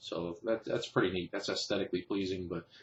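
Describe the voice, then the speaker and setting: Very deep and low, a man's somewhat breathy voice stays monotone and flat. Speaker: knife reviewer. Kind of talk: product review. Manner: fast.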